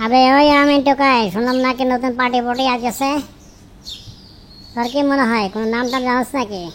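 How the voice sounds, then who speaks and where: The voice is a cartoonish character voice. It moves at a moderate pace. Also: female-sounding voice, high pitch for a woman. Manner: bantering, slangy.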